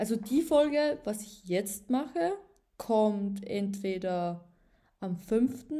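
A woman's fairly high voice, dark and mellow in tone, with lively intonation and a very slow pace. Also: big swings in loudness. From Upper Austria. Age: 20s. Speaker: podcaster. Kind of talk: casual monologue. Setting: home at a table. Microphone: laptop.

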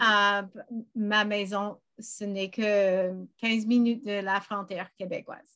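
Someone with an English accent speaks at a very slow pace in a bright, sharp tone with ordinary pitch variation. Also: woman. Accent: English-speaking learner accent in French. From western Canada, British Columbia. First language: English (speaking French). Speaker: language learner. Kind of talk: interview. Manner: halting, many fillers.

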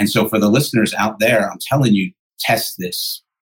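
Here a man talks at a fairly quick pace with lively intonation. His voice is somewhat breathy. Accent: American. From New Jersey, Jersey Shore. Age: 40s. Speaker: pastor and addiction recovery ministry leader. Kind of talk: interview.

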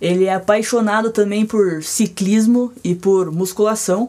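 A woman with a fairly high pitch and a dark, mellow tone speaks at a fairly slow pace, her intonation fairly even. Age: 20s. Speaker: podcast host. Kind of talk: interview intro.

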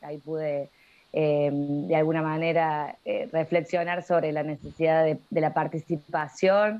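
Her pitch is very deep and low. This woman's intonation is monotone and flat. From Argentina, La Rioja. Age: 30s. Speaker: social worker and youth political organizer. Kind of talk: interview. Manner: halting, many fillers.

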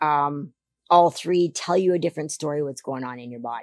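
A dark, mellow tone with fairly even intonation. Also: woman.

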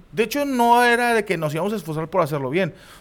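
A man speaks in an animated tone at a fairly quick pace, his high voice swinging very widely in pitch. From Mexico, Monterrey area (Guadalupe, Nuevo León). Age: 30s. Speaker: comedian and football commentator. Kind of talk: casual chat.

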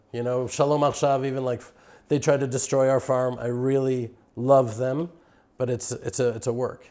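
A man with an American accent speaks at a moderate pace in a medium pitch, with a dark, mellow tone and monotone, flat intonation. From Texas (Houston). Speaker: farmer and Israel advocate. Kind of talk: interview. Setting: on location at a farm.

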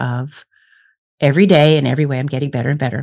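A very deep, low-pitched female voice in an American accent. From US Midwest. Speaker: psychic medium and speaker. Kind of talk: casual interview.

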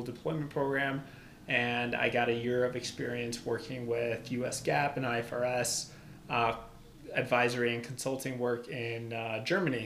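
A man with an American accent, medium pitch and monotone, flat intonation, amid audible room echo and noticeable background noise. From Albania. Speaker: accounting consultant and CPA. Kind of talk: casual interview. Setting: in-person studio.

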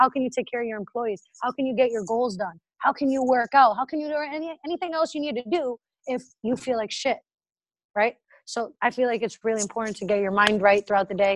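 Talking at a very fast pace in an American accent, a woman with a high pitch and ordinary pitch variation comes through in a dry, close sound with no echo. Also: quiet background. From Massachusetts, near Boston. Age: 20s. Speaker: entrepreneur. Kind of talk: casual interview.

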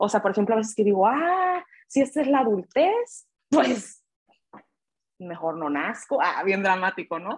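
A woman talks in an unremarkable speaking voice, fairly high in pitch. She speaks at a fairly slow pace. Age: 20s. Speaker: guest, friend of host. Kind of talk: casual chat.

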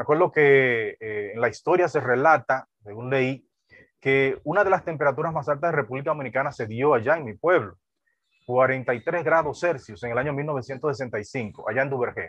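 This man has an ordinary speaking voice, pitched in the medium range. He keeps a moderate pace and shows ordinary pitch variation. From Dominican Republic, deep south (Neiba lake region). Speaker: pastor. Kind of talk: sermon.

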